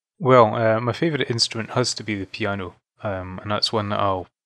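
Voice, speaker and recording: A man's fairly low voice with a Scottish accent, fairly even in intonation and fairly quick in pace. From Fife, Scotland. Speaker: musician. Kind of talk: interview. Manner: hesitant, filler-heavy.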